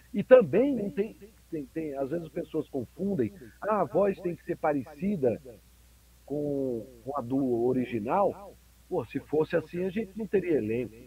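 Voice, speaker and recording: A man talks at a fairly slow pace with a fairly high pitch. His tone is dark and mellow, and his pitch swings very widely. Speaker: voice actor and dubbing director. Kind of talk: interview. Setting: video call.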